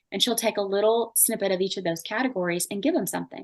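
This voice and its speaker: In a Southern US accent, a woman speaks with ordinary pitch variation, the sound dry and close with no echo. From US South. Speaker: marketing expert. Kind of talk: podcast interview. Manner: fast; casual.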